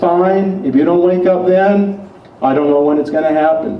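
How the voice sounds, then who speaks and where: A man speaks with a fairly high pitch. Noticeable background noise and audible room echo are present. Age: 60s. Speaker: political activist. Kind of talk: rally speech. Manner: confrontational.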